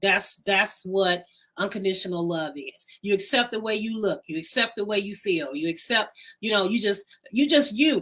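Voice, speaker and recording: Her tone bright and sharp, a woman speaks at a fairly high pitch and a moderate pace with ordinary pitch variation. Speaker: talk show co-host. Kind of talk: casual chat.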